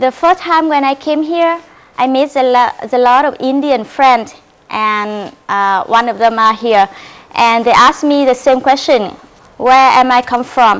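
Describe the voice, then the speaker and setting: A woman with a high voice speaks fairly slowly, her pitch moving in an ordinary way. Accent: Vietnamese. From Vietnam. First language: Vietnamese. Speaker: presenter at a law practicum. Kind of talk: presentation. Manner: halting.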